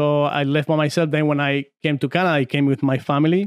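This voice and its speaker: A man speaks with a Spanish accent at a moderate pace. His fairly high pitch stays monotone and flat. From Argentina, San Juan. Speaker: former arm wrestler. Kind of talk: casual podcast interview.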